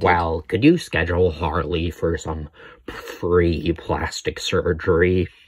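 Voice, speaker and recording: A man puts on a character voice. He talks at a fairly slow pace in a very deep, low pitch. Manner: sarcastic, lazy, whiny.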